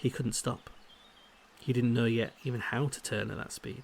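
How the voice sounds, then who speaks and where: At a moderate pace, a man whispers in a soft-spoken way. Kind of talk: ASMR book reading. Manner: soft-spoken, whispered.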